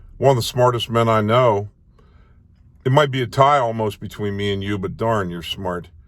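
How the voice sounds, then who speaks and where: A man with an American accent talks at a medium pitch and a moderate pace, with ordinary pitch variation. He leaves long, frequent pauses. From Maryland, US. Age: 60s. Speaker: independent presidential candidate. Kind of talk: campaign video address.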